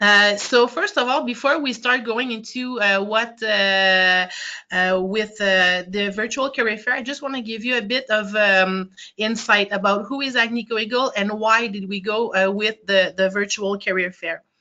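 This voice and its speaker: A woman's fairly high voice in a Quebec accent, at a moderate pace with ordinary pitch variation. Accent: Quebec French accent, noticeable. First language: French. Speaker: human resources counselor. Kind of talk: webinar presentation. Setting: online webinar. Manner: halting, many fillers.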